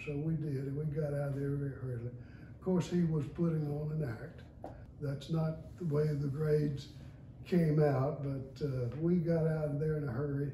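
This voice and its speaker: A man speaks at a moderate pace in a flat, monotone delivery, his dark, mellow tone somewhat breathy, with audible room echo and light background noise. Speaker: retired lawyer and judge, law school alumnus. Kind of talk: oral history recollection. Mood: warm, anecdotal. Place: home room. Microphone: camera far.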